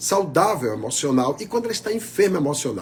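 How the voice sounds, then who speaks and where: The man's pitch swings very widely. His pace is moderate. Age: 60s. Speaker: pastor. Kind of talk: sermon.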